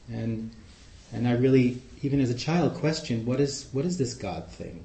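With an American accent, a man speaks at a moderate pace and medium pitch. His voice is somewhat breathy, with lively intonation. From New York City, Queens. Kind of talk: talk to a group with discussion. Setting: live in-person group meeting.

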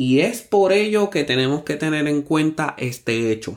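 The recording is very clean, with a silent background. A man talks fairly slowly in an unremarkable speaking voice with ordinary pitch variation. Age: 30s. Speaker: podcast host, musician. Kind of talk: motivational monologue.

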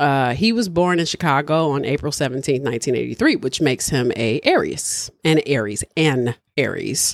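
In a very clean recording with a silent background, a woman with a very deep, low pitch talks at a moderate pace in an animated tone, her intonation lively, her loudness very even and her pauses hardly any. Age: 30s. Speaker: podcast host. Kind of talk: casual chat.

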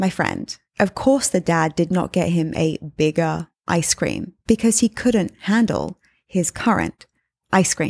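In a very clean recording with a silent background and a dry, close sound with no echo, a woman speaks fairly slowly in a warm, fairly low tone with vocal fry. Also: lively intonation. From England. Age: 30s. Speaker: podcast host and life coach. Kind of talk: solo podcast monologue. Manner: conversational, warm.

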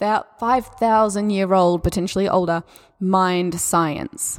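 With an Australian accent, the speaker has a warm, gentle tone and ordinary pitch variation in a very clean recording with a silent background. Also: woman. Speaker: yoga teacher and spirituality coach. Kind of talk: solo podcast talk on spirituality and yoga. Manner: warm, gentle, encouraging.

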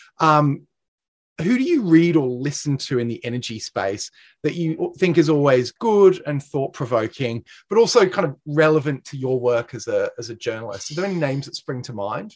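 Recorded dry and close with no echo, a man with an Australian accent speaks at a moderate pace in a fairly high voice, his loudness swinging widely. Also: lively intonation. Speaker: podcast host, energy consultancy director. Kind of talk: interview.

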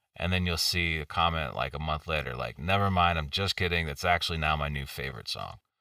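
On a very clean recording with a silent background, a man with an American accent talks at a very fast pace with hardly any pauses, his very deep, low voice carrying vocal fry, a bright, sharp tone and ordinary pitch variation. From Missouri. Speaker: rock singer. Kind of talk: casual interview.

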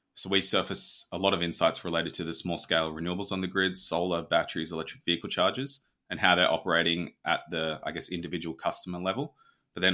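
Over a very clean recording with a silent background, the speaker uses an Australian accent, a bright, sharp tone, fairly even intonation and a very fast pace. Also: man. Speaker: startup founder and CEO. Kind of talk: interview.

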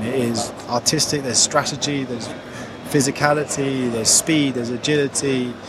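There is noticeable background noise as a man speaks at a moderate pace in a medium pitch with ordinary pitch variation. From Middle East. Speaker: rugby competition chief executive. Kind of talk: interview. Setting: airport lounge. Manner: hesitant with fillers.

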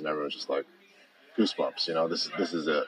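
A man is heard with noticeable background noise. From Hawaii. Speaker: apparel company CEO and co-founder, former teacher and coach. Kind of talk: interview. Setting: recorded on site at company headquarters.

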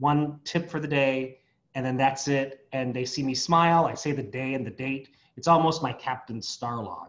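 A man with an American accent speaks in an ordinary speaking voice at medium pitch. His pace is moderate and his intonation fairly even. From San Diego, California. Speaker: association executive director, psychologist. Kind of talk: interview.

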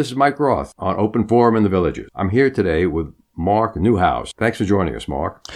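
The voice carries an American accent with vocal fry and lively intonation. It moves at a fairly quick pace with hardly any pauses over a quiet background. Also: man, fairly low pitch for a man. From Long Island, New York. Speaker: podcast host. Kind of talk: interview.

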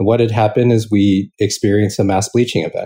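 Against a quiet background, a man speaks with a dark, mellow tone. His voice is somewhat breathy and his pace fairly quick. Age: 40s. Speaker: venture capital founder. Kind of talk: interview.

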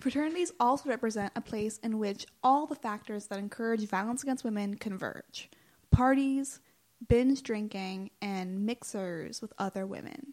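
A woman's fairly high-pitched, unremarkable speaking voice at a moderate pace. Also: ordinary pitch variation. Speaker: student podcast co-host. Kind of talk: scripted narration.

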